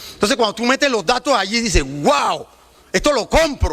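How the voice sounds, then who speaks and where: Amid noticeable background noise, a man speaks in a raised, projected voice at an extremely high pitch for a man, his tone animated and his pace fairly quick. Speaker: student union representative. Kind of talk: public speech on pension reform. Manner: fast.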